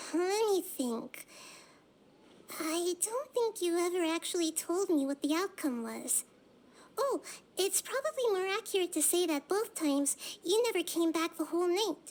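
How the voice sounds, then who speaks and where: In a squeaky put-on character voice at an extremely high pitch, a woman speaks at a moderate pace with long, frequent pauses. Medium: game stream.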